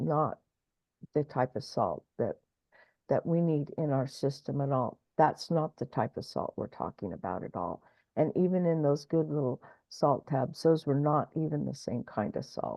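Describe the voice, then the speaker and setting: A woman's very deep, low voice with vocal fry, ordinary pitch variation and a moderate pace. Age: 70s. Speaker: spiritual show host. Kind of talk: casual chat.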